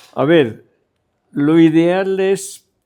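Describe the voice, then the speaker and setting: Music plays underneath. Over it, a man talks. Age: 90s. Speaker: cartoonist. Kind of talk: interview.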